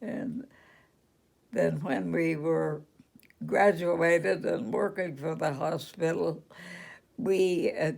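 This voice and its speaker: Vocal fry and lively intonation run through speech in a Western US accent. The pace is very slow. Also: woman. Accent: American Western. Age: 80s+. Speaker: retired registered nurse. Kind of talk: interview answer.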